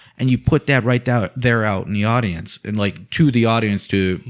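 A man speaks at a moderate pace with a medium pitch. He has a normal speaking voice. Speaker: guest co-host. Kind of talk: casual banter, film discussion. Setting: recording studio.

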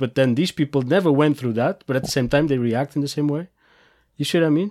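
In a dry, close recording with no echo, a man with a fairly high voice speaks at a fairly quick pace with ordinary pitch variation. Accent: Portuguese. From Portugal. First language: Portuguese. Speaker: podcast host. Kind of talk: interview. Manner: halting, many fillers.

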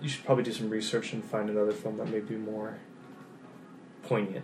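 With music in the background, a man with an American accent speaks at a fairly low pitch. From Lincoln, California. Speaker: podcast co-host. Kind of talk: casual chat.

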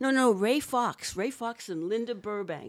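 Recorded very cleanly against a silent background, the speaker talks at a moderate pace with a slight Boston accent. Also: woman. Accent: Boston American, slight. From Boston, US. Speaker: set decorator. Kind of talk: interview conversation.

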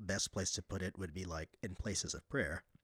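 A man with a very deep, low voice and an American accent speaks at a moderate pace in a very clean recording with a silent background and a dry, close sound with no echo. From Philippines. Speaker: religious brother, relic collector. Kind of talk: casual chat.

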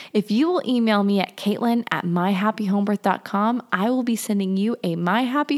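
Speaking at a moderate pace with hardly any pauses, a woman uses a normal speaking voice, fairly high in pitch with ordinary pitch variation. Her loudness stays very even, and the sound is dry and close, with no echo. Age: 20s. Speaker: podcast host. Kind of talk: casual chat.

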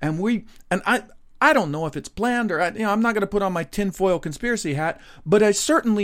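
The recording is very clean, with a silent background. A man speaks at a fairly quick pace with an American accent. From Texas, Dallas area. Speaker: podcast host and game developer. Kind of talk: solo monologue podcast. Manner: animated.

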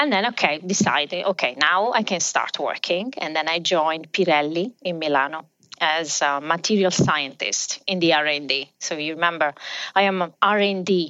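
A woman with an Italian accent and a fairly low pitch. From southern Italy. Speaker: business executive. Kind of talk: interview.

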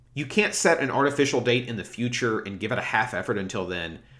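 With an American accent and lively intonation, a man speaks at medium pitch and a moderate pace in a normal speaking voice. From US South, small-town Alabama. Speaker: podcast host, book reviewer. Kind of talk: solo podcast monologue, book discussion.

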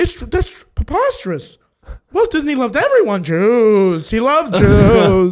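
A put-on character voice with a fairly high pitch. It moves at a fairly slow pace. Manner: flustered, defensive.

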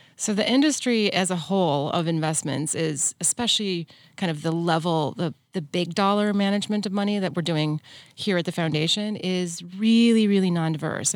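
A woman speaks in a normal speaking voice at a medium pitch and a moderate pace. Her pitch varies in an ordinary way, and the recording is very clean with a silent background. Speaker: investment executive. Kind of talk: interview.

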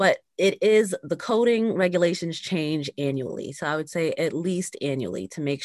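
A woman with an American accent at a moderate pace, in a dry, close sound with no echo and a quiet background. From New York area (Bronx, Westchester). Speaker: physician and business owner. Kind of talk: interview conversation.

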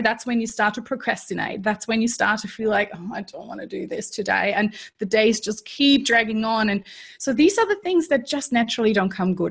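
A somewhat breathy woman's voice, fairly high in pitch with ordinary pitch variation, at a fairly quick pace with a slight German accent, on a very clean recording with a silent background. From Germany. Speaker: strengths coach. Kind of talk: interview.

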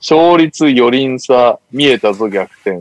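Speaking very slowly, a man with a medium-pitched voice uses lively intonation in a dry, close recording with no echo. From Tokyo. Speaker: podcast host. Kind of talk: casual chat.

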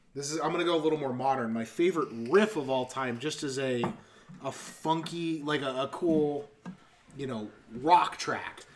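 A man with a fairly high voice talks at a moderate pace with ordinary pitch variation over noticeable background noise. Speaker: podcast host. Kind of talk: casual banter podcast.

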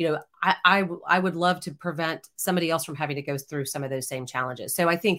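Over a very clean recording with a silent background, a woman with a plain, everyday voice speaks fairly quickly at a fairly low pitch and with fairly even intonation. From Texas, Houston. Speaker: former TV news anchor. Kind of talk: casual chat.

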